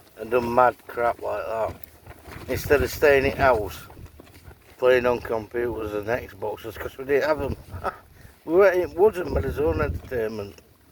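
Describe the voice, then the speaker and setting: Moderate-paced male speech broken by long, frequent pauses, noticeable background noise behind it. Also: medium pitch for a man, lively intonation. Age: 60s. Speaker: outdoor vlogger. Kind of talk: casual vlog talk. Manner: animated.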